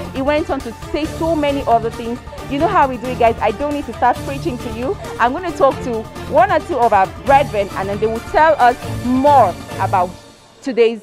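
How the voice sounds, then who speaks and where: Over clear background music, a high-pitched woman talks at a fairly quick pace with big swings in loudness. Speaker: presenter. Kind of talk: presenter recap to camera. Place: street. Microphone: handheld.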